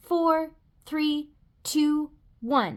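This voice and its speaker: A woman puts on a high-pitched character voice. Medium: read story. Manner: eager, boastful.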